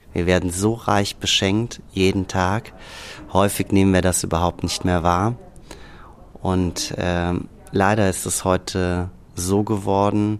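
A man's very deep, low pitch in a monotone, flat delivery at a very slow pace, with long, frequent pauses and noticeable background noise. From Hürth, Rhineland, Germany. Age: 40s. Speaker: organic herb farmer. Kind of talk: interview.

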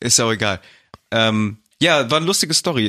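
A man with a plain, everyday voice talks fairly quickly at medium pitch. The recording is very clean, its background silent. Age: 20s. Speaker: podcast co-host. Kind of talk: casual chat.

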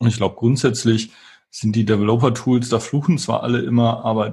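With a somewhat breathy quality, a man's voice sits at a medium pitch. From western Germany, Wuppertal. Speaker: tech company founder and CEO. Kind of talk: interview. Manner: hesitant, many filler sounds.

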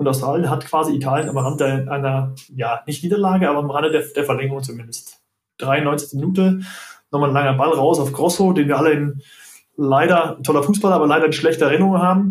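A man with a fairly high pitch and a somewhat breathy voice talks at a very fast pace. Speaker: football referee and doctor. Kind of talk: casual chat. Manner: halting.

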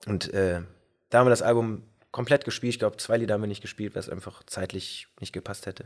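A man at a fairly low pitch and very fast pace, fairly even in intonation with big swings in loudness, in a very clean recording with a silent background. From Bergisch Gladbach, near Cologne, Germany. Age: 30s. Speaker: band singer and guitarist. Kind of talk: casual interview chat. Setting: pub. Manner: hesitant, many fillers.

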